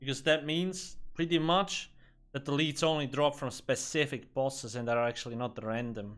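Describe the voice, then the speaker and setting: Speaking at a fairly slow pace, a man with a Swiss German accent shows ordinary pitch variation. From Switzerland. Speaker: video game streamer. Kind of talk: casual live-stream gameplay commentary.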